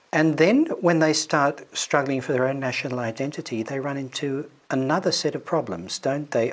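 Noticeable background noise accompanies a man with a fairly high pitch who speaks at a moderate pace with hardly any pauses. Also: ordinary pitch variation. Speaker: historian, podcast co-host. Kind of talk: interview.

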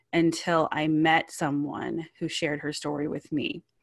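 Over a quiet background, a woman with a plain, everyday voice talks at a fairly low pitch with fairly even intonation. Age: 30s. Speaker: ministry founder. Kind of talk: interview testimony.

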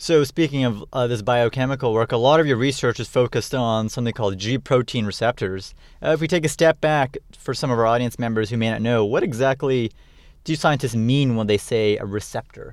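A man speaks at a fairly quick pace and medium pitch with ordinary pitch variation. It is an ordinary speaking voice. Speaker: podcast host. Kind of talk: interview.

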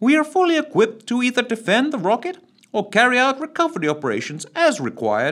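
A man does a put-on character voice, resonant and extremely high-pitched, delivered at a very fast pace. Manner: calm, terse, dry.

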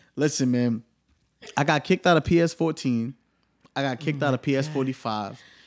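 In a very clean recording with a silent background, a man with a New York accent speaks at a fairly high pitch, leaving long, frequent pauses. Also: ordinary pitch variation, moderate pace. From New York, Staten Island. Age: 20s. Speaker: podcast host. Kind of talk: casual chat.

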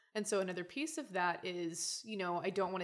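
An ordinary speaking voice from a woman with an American accent, medium pitch, ordinary pitch variation and a moderate pace. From Oklahoma, US South. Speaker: guest studying feminist theory. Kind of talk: casual chat.

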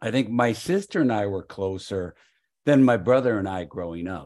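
Quiet background, a man's moderate pace, and ordinary pitch variation. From Chicago suburbs. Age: 50s. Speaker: improviser and improv coach. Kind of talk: casual interview.

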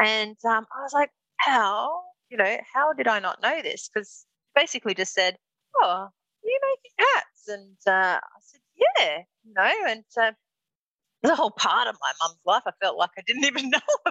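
A woman's fairly high voice in an Australian accent, with very wide pitch swings, big swings in loudness and long, frequent pauses. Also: moderate pace. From Darwin, northern Australia. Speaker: milliner. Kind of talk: interview. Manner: halting, many fillers.

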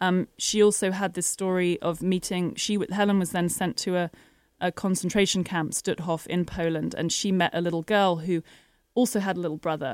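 A woman speaks in a normal speaking voice at medium pitch and a fairly quick pace, with fairly even intonation, on a very clean recording with a silent background. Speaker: documentary film director. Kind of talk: radio interview. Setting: studio.

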